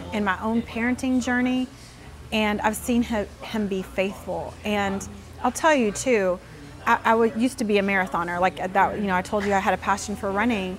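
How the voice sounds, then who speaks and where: Here a woman speaks at a medium pitch. She keeps a moderate pace with ordinary pitch variation. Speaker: nonprofit founder and business owner. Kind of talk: interview. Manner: loud.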